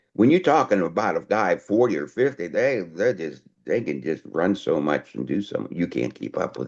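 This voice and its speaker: A man with fairly low pitch and vocal fry talks at a moderate pace, his pitch swinging very widely, with hardly any pauses. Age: 70s. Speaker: interviewee, retired chemist and robotics worker. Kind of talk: casual interview chat.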